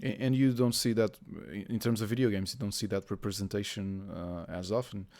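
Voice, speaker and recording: A man with a Portuguese accent, fairly low in pitch, with ordinary pitch variation and a fairly quick pace. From Portugal. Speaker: gaming journalist interviewer. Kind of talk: interview. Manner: halting.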